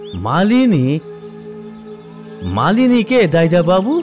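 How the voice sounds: Using a put-on character voice, a man speaks slowly in a high pitch with very wide pitch swings and a slightly mellow tone, while faint music plays in the background.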